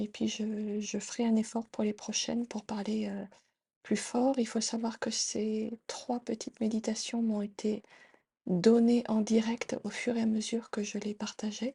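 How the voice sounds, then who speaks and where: A soft-spoken, somewhat breathy woman's voice, fairly high-pitched, with monotone, flat intonation, a fairly slow pace and a dark, mellow tone. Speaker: tarot reader and meditation guide. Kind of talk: casual intro to camera. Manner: soft-spoken during meditations; halting, many fillers.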